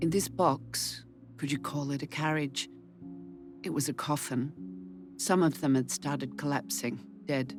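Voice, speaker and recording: Music sits in the background while a woman talks at a fairly slow pace. Her very deep, low pitch makes very wide swings. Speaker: actress, audiobook narrator. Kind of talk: audiobook reading.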